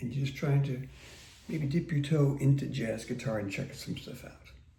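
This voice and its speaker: A man with an American accent speaks at a moderate pace in a relaxed, dark, mellow, somewhat breathy tone, his pitch fairly high with ordinary variation, amid audible room echo. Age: 60s. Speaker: guitar teacher. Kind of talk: casual talk to camera. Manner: relaxed, conversational with fillers.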